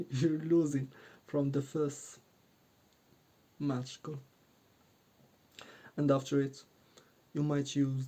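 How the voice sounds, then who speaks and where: Speaking at a very slow pace with long, frequent pauses, a man with a non-native accent uses a fairly high pitch and monotone, flat intonation in a dark, mellow tone. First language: not English. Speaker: dating coach YouTuber. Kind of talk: casual talk to camera. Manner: halting, many fillers.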